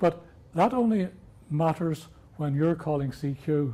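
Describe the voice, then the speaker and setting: Speaking with an Irish accent, a man sounds somewhat breathy. His tone is dark and mellow, with ordinary pitch variation. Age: 70s. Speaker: amateur radio presenter. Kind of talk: workshop talk.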